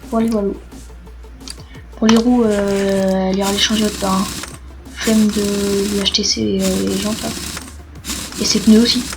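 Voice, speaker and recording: Soft-spoken and monotone, a woman talks at a fairly slow pace with long, frequent pauses and flat intonation. Music plays in the background, and there is audible room echo. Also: medium pitch for a woman. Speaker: gaming youtuber. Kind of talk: gameplay commentary. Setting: at home, late at night. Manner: casual, swearing asides.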